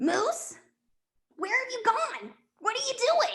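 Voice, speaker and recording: A cartoonish character voice at an extremely high pitch and a fairly slow pace. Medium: puppet. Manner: warm, reassuring.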